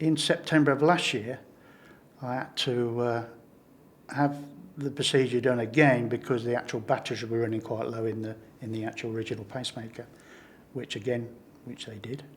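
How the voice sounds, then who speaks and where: A medium-pitched man talks at a fairly quick pace with fairly even intonation, long, frequent pauses and big swings in loudness. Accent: northern English. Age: 70s. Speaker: pacemaker patient. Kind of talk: interview testimony. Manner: halting.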